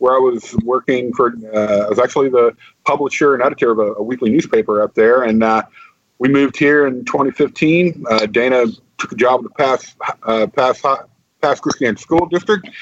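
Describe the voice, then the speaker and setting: Speaking with a Mississippi accent, a man keeps a moderate pace and a medium pitch with ordinary variation, recorded dry and close with no echo. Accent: Southern US (Mississippi). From northeast Mississippi (Aberdeen). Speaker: county public information officer. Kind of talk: interview. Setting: radio studio.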